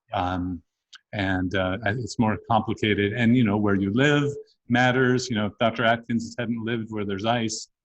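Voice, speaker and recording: A man with a plain, everyday voice, medium pitch, fairly even intonation and a moderate pace. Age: 60s. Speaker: physician and researcher. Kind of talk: interview.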